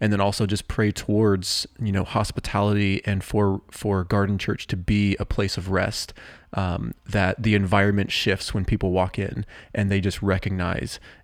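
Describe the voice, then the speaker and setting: A fairly low-pitched man in an American accent, monotone and flat, with very even loudness on a very clean recording with a silent background. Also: moderate pace. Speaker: church podcast host. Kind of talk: casual chat. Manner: halting.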